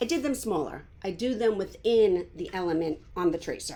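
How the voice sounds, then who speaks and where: Speaking at a moderate pace, a woman with a Long Island accent uses a fairly high pitch. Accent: New York Long Island. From New York, Long Island. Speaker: art teacher. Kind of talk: live painting tutorial. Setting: home, live stream.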